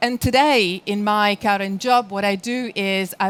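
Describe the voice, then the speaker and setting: Recorded very cleanly with a silent background, a woman with an Italian accent speaks at a medium pitch with ordinary pitch variation. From Italy. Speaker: sales strategy speaker. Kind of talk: conference presentation. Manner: frequent filler hesitations.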